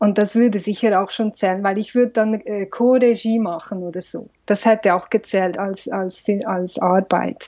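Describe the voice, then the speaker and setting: With hardly any pauses, a woman speaks in a dark, mellow tone and fairly even intonation against a quiet background. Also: medium pitch for a woman, moderate pace. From Switzerland, Valais. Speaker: film director and psychologist. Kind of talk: interview.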